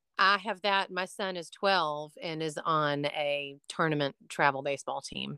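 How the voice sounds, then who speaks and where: A woman's very deep, low voice with a bright, sharp tone and ordinary pitch variation, at a fairly slow pace with hardly any pauses, in a very clean, dry, close recording with a silent background and no echo. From Atlanta, Georgia. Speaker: handbag designer and business owner. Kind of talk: casual chat.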